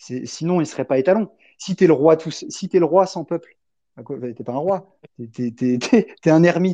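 With a high pitch, ordinary pitch variation and a dark, mellow tone, a man speaks at a fairly slow pace with long, frequent pauses and big swings in loudness, in a dry, close sound with no echo against a quiet background. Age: 20s. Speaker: PhD researcher in blockchain, crypto association founder. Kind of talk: casual chat.

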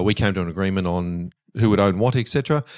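Talking at a very fast pace with an Australian accent, a man with a fairly low voice uses ordinary pitch variation on a very clean recording with a silent background. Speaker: stormwater engineer, company director. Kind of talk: casual interview.

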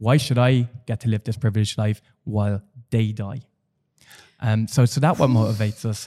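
A man with a Dublin accent, dark, mellow tone and fairly quick pace, on a very clean recording with a silent background. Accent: Dublin Irish. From Ireland, Dublin. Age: 30s. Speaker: HIV activist. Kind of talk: casual chat. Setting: studio. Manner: animated.

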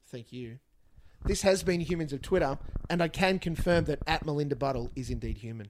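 Fairly quick with ordinary pitch variation, a man with an Australian accent speaks at a fairly high pitch, his loudness swinging widely. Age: 40s. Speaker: podcast host. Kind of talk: casual chat.

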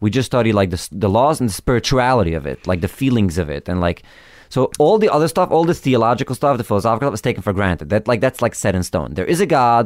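Speaking at a very fast pace, a man uses very wide pitch swings and vocal fry in a dry, close sound with no echo. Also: medium pitch for a man. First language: Yiddish. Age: 30s. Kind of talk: interview conversation.

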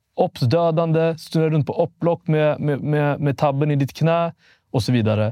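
Recorded dry and close with no echo against a quiet background, a man speaks in a dark, mellow tone. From Sweden, Vallentuna north of Stockholm. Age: 20s. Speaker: police youth crime investigator and YouTuber. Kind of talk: casual podcast interview.

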